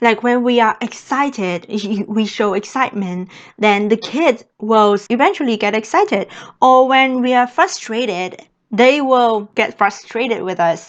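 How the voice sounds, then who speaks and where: In a Vietnamese accent, a woman speaks at a fairly high pitch with ordinary pitch variation. She goes at a fairly slow pace against a quiet background. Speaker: au pair and vlogger. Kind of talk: vlog talk to camera.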